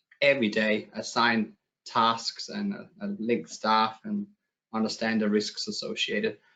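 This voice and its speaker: In a Danish accent, the voice moves through very wide pitch swings. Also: man. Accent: Danish, noticeable. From Denmark. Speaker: software company client director. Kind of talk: webinar presentation. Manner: hesitant, many fillers.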